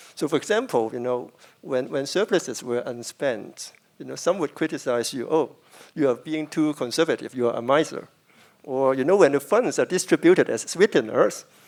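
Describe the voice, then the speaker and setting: At a fairly quick pace, a man with a plain, everyday voice talks at a fairly high pitch with ordinary pitch variation. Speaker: moderator. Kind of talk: moderator interview question.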